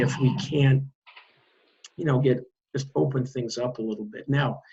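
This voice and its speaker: The somewhat breathy voice moves at a moderate pace. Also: man. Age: 60s. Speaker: advocacy director for a seniors' organization. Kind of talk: interview.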